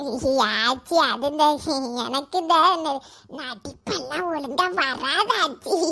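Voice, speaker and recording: A woman uses a cartoonish character voice, speaking at a very slow pace. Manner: quarrelsome, grumbling.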